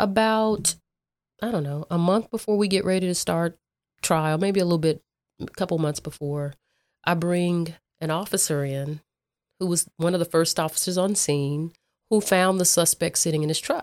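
A woman with an American accent speaks at a moderate pace, her pitch fairly low with ordinary variation. She leaves long, frequent pauses, and the recording is very clean with a silent background. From Dallas, Texas (South Oak Cliff). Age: 50s. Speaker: prosecutor running for district attorney. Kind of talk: interview conversation.

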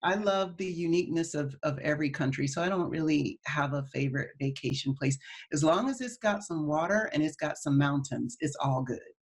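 A woman speaks at a fairly quick pace with hardly any pauses, her pitch very deep and low. Her voice is somewhat breathy, with ordinary pitch variation. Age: 40s. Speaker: wellness entrepreneur. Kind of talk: interview.

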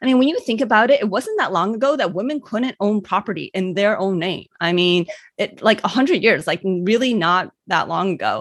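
With an American accent, a woman talks with lively intonation and hardly any pauses. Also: medium pitch for a woman, moderate pace, quiet background. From US Midwest, Cleveland, Ohio. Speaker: doctor and life coach. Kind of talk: interview.

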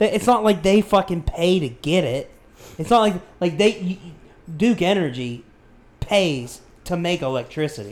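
With lively intonation and a high pitch, a man speaks at a fairly slow pace, leaving long, frequent pauses. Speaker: podcast co-host. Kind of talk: casual chat.

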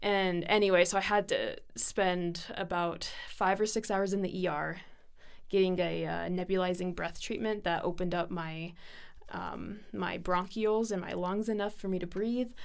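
At a moderate pace, a woman talks at a medium pitch in an unremarkable speaking voice. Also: fairly even intonation. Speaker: student nurse. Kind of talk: casual interview chat, personal story.

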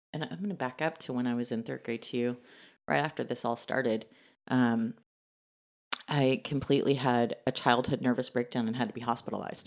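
Against a quiet background, a woman with an American accent speaks at a very deep, low pitch. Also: ordinary pitch variation, fairly quick pace. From Texas, Dallas. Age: 40s. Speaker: interviewee sharing life story. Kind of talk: testimony.

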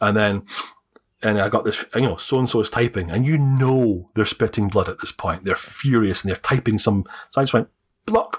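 A man with a Scottish accent talks at medium pitch and a moderate pace, with ordinary pitch variation, in a dry, close recording with no echo. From Scotland. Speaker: adoptee. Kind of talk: interview telling personal story. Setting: video call.

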